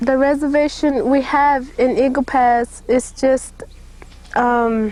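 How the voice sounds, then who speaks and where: Speaking with an Oklahoma accent, a woman with a high pitch talks at a very slow pace, her loudness very even and her pitch variation ordinary. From Kickapoo community, Mexico and US. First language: Kickapoo. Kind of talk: interview testimony.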